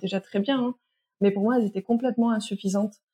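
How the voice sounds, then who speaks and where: A woman's somewhat breathy voice sits at a fairly high pitch, with fairly even intonation. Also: dry, close sound with no echo. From France, moved a lot, partly French Guiana. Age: 30s. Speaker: sexologist and teacher. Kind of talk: testimony. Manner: hesitant, many fillers.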